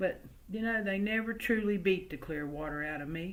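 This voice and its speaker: Lively intonation marks this woman's speech. She has a slight Southern US accent. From US South, early childhood in West Virginia coalfields. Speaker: oral history storyteller. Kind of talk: storytelling. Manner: folksy, conversational.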